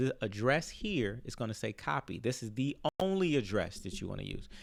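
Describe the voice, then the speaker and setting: The voice has very wide pitch swings. The recording is very clean, with a silent background. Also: man. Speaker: crypto YouTuber. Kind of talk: tutorial. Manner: casual, filler-heavy.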